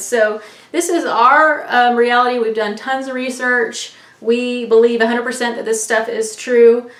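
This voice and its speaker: Through noticeable background noise and audible room echo, a woman speaks at a high pitch. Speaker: online news vlogger. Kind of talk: casual monologue.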